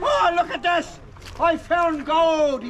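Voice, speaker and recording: A man puts on a character voice at an extremely high pitch, in an Irish accent. Clear background noise runs behind him. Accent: Irish, exaggerated. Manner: excited, gleeful.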